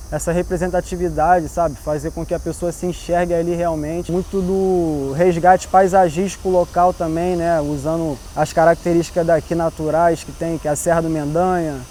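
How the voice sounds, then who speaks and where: A man's high-pitched voice, monotone and flat, at a moderate pace with hardly any pauses, over noticeable background noise. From Brazil, Baixada Fluminense (Nova Iguaçu, Rio de Janeiro state). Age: 20s. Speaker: visual artist. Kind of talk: interview. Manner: casual, slangy.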